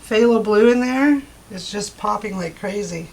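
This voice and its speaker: Here is a woman with an ordinary speaking voice. Her fairly high pitch shows ordinary variation. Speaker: acrylic pour artist. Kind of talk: tutorial. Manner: casual and chatty.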